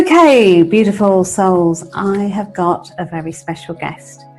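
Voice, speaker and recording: Music plays behind a woman who speaks very slowly at a medium pitch with ordinary pitch variation. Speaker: radio show host. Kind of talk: interview host talk. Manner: warm, enthusiastic.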